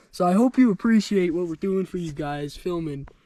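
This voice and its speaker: In a dry, close sound with no echo, a man with a high pitch and a dark, mellow tone speaks at a moderate pace. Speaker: hiking vlogger. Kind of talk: casual vlog narration. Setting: outdoors on a trail.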